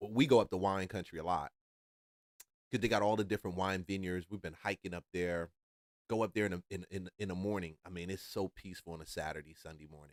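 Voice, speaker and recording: Speaking loud and very fast, a man with a very deep, low pitch keeps a fairly even intonation in a dry, close sound with no echo. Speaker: reaction video host. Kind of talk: reaction commentary.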